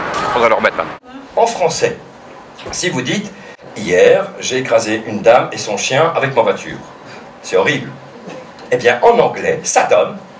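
A man talks at a moderate pace with long, frequent pauses over light background noise. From Belgium, La Louvière (Hainaut); Belgium. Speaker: comedian. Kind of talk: casual interview during a town walk. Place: stage. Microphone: headset.

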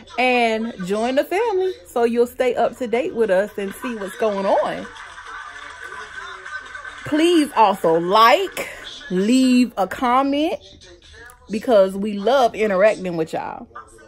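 A woman at a very slow pace, long, frequent pauses, faint music in the background. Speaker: vlogger. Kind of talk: casual vlog chat. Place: home room. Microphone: phone near.

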